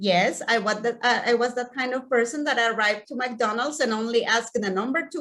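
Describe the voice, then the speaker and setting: Her voice sits high for a woman, with ordinary variation in pitch. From Mexico. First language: Spanish. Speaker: community outreach director. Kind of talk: personal talk to an audience. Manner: halting, with frequent repetitions; slow.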